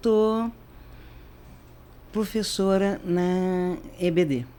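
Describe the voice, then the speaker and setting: The voice belongs to a woman at a medium pitch. Her tone is dark and mellow. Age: 70s. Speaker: retired teacher. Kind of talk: interview testimony.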